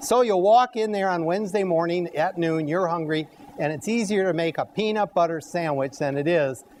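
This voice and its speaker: A man with a high pitch talks at a moderate speed while noticeable background noise runs behind him. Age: 60s. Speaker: cooking show host. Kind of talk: live cooking demonstration. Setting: health center dining room with audience.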